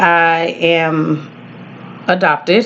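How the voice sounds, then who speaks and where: A woman with an American accent speaks in a fairly low voice against noticeable background noise. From Texas. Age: 40s. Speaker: student. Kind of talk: class introduction video. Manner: hesitant, many fillers.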